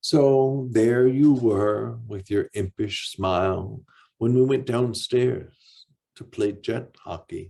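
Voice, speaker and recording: Here a man talks at a very slow pace in a medium pitch. His tone is dark and mellow, with ordinary pitch variation. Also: big swings in loudness. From Michigan Upper Peninsula, Ironwood. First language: deaf speaker, lost hearing as infant. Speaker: author. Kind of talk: reading aloud.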